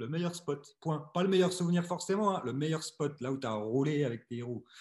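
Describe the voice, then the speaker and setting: Hardly pausing, a man with a fairly high pitch and somewhat breathy voice talks at a moderate pace with ordinary pitch variation. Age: 40s. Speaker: podcast host. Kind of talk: casual interview.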